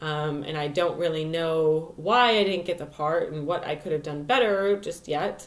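A woman speaks at a moderate pace in a plain, everyday voice, fairly low in pitch, with ordinary pitch variation and hardly any pauses. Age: 20s. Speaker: astrologer and vlogger. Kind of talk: casual vlog monologue. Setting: home video recording. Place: home room. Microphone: webcam.

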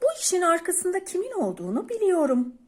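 At a fairly quick pace, the speaker performs a put-on character voice with very wide pitch swings. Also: woman, extremely high pitch for a woman. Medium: read story.

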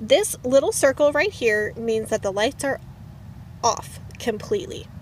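A woman's voice sounds dry with no echo, over light background noise. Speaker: van life vlogger. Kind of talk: tutorial. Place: car. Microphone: phone near.

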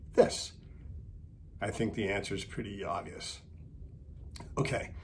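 A somewhat breathy man speaks over light background noise. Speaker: sailing vlogger. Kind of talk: monologue to camera, opinion piece. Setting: video. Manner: casual, opinionated, chatty. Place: office. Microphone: webcam.

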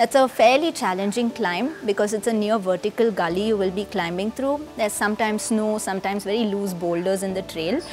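Over faint background music, a woman talks at a fairly quick pace with ordinary pitch variation. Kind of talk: informational explainer. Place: home room. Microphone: lapel.

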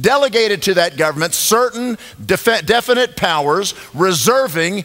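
The pace is moderate. The background stays quiet. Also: man. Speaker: pastor speaking at event. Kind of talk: sermon. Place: church.

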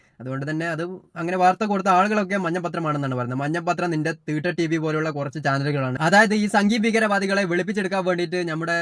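A man speaks in a normal speaking voice, fairly high in pitch with ordinary pitch variation. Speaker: political YouTube commentator. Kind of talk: reaction video commentary. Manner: mocking, sarcastic.

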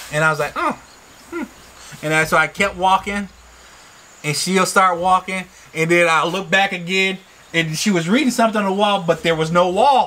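At a moderate pace, a man speaks in a high, raised, projected voice with ordinary pitch variation. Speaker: farmer and vlogger; farm vlogger. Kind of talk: casual chat. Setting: outdoors on a balcony. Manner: hesitant, many fillers. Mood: amused, playful. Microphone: camera far.

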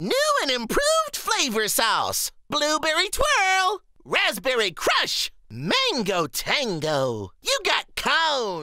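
A high-pitched put-on character voice at a very slow pace. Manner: bubbly, salesman cheer.

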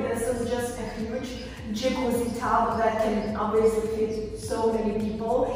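The woman's pace is fairly slow. Strong room echo and light background noise fill the recording. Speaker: travel vlogger. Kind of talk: casual vlog chat. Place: bathroom. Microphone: camera far.

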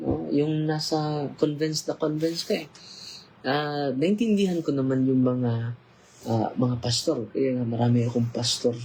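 Somewhat breathy and dark, mellow in tone, a man speaks fairly slowly at a medium pitch with ordinary pitch variation. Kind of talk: casual livestream interview.

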